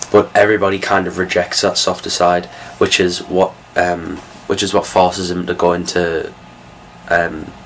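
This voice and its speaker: The speech is mumbled at a moderate pace. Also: man. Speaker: film reviewer. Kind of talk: casual talk to camera. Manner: hesitant, mumbling.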